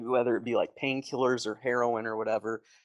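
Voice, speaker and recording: A man with an American accent speaks at a very fast pace, his sound dry and close with no echo. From US Midwest, Metro Detroit, Michigan. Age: 30s. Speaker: army veteran. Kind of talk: interview testimony. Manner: fast, with many fillers.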